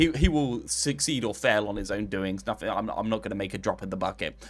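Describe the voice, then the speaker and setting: A man with an English accent at a very fast pace, his intonation lively. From England. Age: 20s. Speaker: streamer. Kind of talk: casual chat. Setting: live stream.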